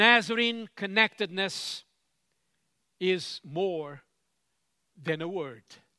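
In a very clean recording with a silent background and a dry, close sound with no echo, a man projects a raised, high-pitched voice with a bright, sharp tone, speaking very slowly with long, frequent pauses. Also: ordinary pitch variation. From Cape Verde. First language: Cape Verdean Creole. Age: old. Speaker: church leader, preacher. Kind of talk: sermon. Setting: retreat gathering with audience.

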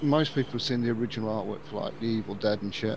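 A man speaks with a slight Birmingham accent and ordinary pitch variation. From Birmingham, England. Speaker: podcast host. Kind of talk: casual chat.

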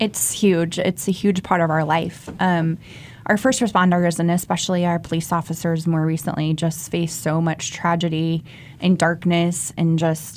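A woman with an unremarkable speaking voice, fairly low in pitch, at a moderate pace. Her loudness stays very even and her intonation fairly even. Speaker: prayer ministry leader. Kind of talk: radio interview. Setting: studio.

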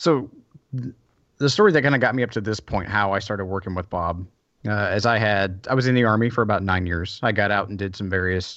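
This man has an ordinary speaking voice with a fairly low pitch. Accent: American. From US South. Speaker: maker and workshop builder. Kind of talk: casual interview.

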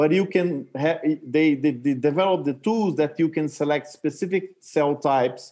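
A man with a Portuguese accent and a fairly high pitch, his tone dark and mellow, with ordinary pitch variation, a moderate pace and hardly any pauses. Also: very even loudness. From Brazil. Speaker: consultant and former tech entrepreneur. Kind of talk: interview. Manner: halting.

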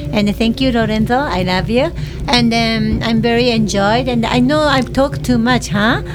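Moderate-paced speech in a Japanese accent, very even in loudness, with audible room echo and noticeable background noise. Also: woman. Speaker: personal trainer. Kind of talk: casual chat. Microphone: too far from the mic.

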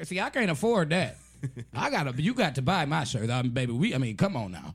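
A man's animated, somewhat breathy voice at medium pitch, racing at a very fast pace with very wide pitch swings. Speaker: radio host. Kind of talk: casual comedic chat with caller. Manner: animated, joking, laughs a lot.

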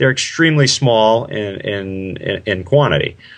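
This man has an unremarkable speaking voice at a fairly low pitch. His intonation is lively. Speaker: triathlon coach. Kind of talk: interview explanation.

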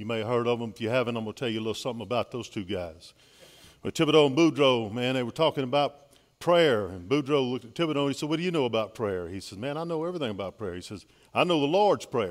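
A man in a Louisiana accent talks very fast with lively intonation and big swings in loudness. The recording is very clean, with a silent background. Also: medium pitch for a man. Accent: Louisiana Southern US. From Louisiana, Baton Rouge. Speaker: pastor. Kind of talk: sermon. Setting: church.

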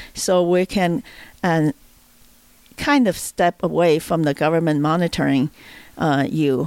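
A woman with a Chinese accent speaks at a fairly slow pace in a fairly low voice, with a dry, close sound and no echo. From China. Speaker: libertarian activist. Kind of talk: casual chat. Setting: at home roundtable. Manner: halting.

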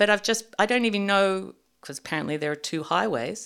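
An Australian accent marks this woman's speech, which has lively intonation at a medium pitch. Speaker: storyteller guest. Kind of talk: storytelling in casual interview.

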